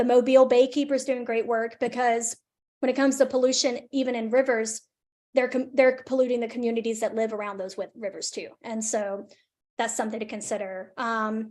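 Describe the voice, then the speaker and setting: In a monotone, flat intonation and an American accent, the speaker goes at a fairly quick pace against a quiet background. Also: woman, high pitch for a woman. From northern Alabama, near Decatur. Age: 20s. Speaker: environmental justice advocate, presenter. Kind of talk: webinar Q&A. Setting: video call, live streamed.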